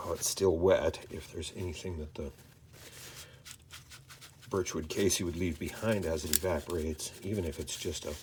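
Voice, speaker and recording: Breathing somewhat audibly, a man speaks in a calm tone with a very deep, low pitch. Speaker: firearms channel host. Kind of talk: instructional firearm cleaning talk to camera. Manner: calm, measured, soft-spoken.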